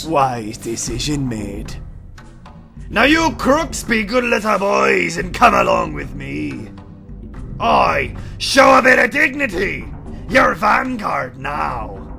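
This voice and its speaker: Clear background music under a man's put-on character voice, delivered at a fairly slow pace. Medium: audio drama. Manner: rough, threatening.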